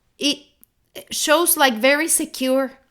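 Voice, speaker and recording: A woman with a non-native accent speaks very slowly in a high, bright, sharp voice, raised and projected. The recording is very clean, with a silent background. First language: not English. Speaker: holistic health coach. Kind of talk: live motivational talk. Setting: livestream. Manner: halting, repeats words.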